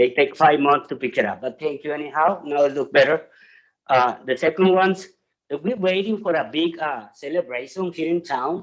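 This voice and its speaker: The pace is moderate. Pitch variation is ordinary. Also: man. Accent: non-native. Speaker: public commenter at city council. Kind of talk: public comment. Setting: city council meeting.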